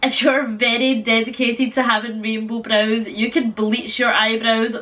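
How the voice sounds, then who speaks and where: A woman's fairly high, monotone voice with flat intonation over noticeable background noise. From Scotland. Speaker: beauty vlogger. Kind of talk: tutorial. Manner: casual, chatty.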